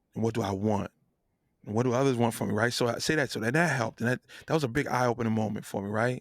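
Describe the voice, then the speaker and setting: Someone with an American accent talks at a very fast pace in an animated tone, the sound dry and close with no echo. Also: man, medium pitch for a man. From New Jersey. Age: 40s. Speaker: singer and producer. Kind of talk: podcast interview.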